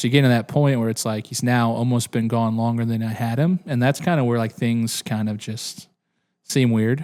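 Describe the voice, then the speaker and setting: Here a man keeps a moderate pace at a medium pitch. His intonation stays fairly even on a very clean recording with a silent background. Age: 30s. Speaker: family business co-owner. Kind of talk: casual chat. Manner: halting.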